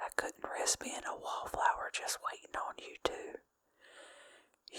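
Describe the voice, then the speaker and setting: A woman's gentle, breathy whispering. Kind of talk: ASMR book reading. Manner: whispered, gentle, breathy.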